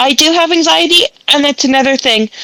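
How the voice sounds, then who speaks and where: A woman speaks in a raised, projected voice at a high pitch. Her pace is moderate, with ordinary pitch variation. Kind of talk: interview conversation.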